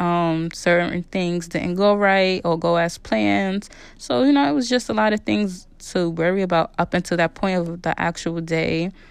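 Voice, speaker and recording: An ordinary speaking voice from a woman, fairly low in pitch, at a fairly slow pace over a quiet background. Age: 30s. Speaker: podcast host. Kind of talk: casual personal monologue.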